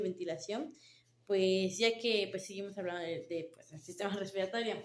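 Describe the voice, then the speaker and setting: A woman's voice at medium pitch. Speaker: nursing student. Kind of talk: class presentation. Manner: halting.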